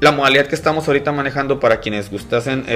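Music plays in the background as a man speaks at a very fast pace. His pitch varies in an ordinary way. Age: 30s. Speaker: business owner. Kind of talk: casual chat.

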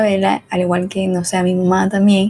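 A woman talks at a moderate pace and medium pitch. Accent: Venezuelan. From Venezuela. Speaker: podcast host. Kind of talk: casual solo monologue.

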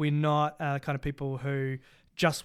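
In a very clean recording with a silent background, a man with a New Zealand accent talks at a fairly quick pace, his fairly high pitch held in fairly even intonation. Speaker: Bible college academic director and podcast co-host. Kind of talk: casual chat. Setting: studio.

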